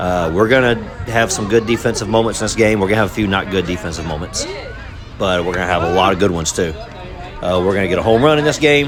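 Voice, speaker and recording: Over noticeable background noise and audible room echo, a man talks very fast. His voice is fairly low, and his pitch varies in an ordinary way. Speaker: youth softball parent and video creator. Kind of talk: casual commentary over game footage. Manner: unscripted, hesitant with fillers.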